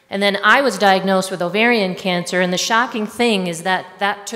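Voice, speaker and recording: Medium pitch from a woman, noticeable background noise behind her. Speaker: health writer and speaker. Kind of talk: talk to an audience.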